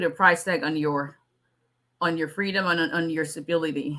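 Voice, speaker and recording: A woman speaks at a fairly low pitch in a bright, sharp tone. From Nigeria. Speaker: immigration lawyer. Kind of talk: live stream Q&A. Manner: fast.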